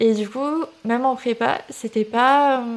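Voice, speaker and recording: A woman speaks in an ordinary speaking voice at a fairly high pitch with ordinary pitch variation. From southern France, Toulouse area. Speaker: student and content creator. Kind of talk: casual interview chat.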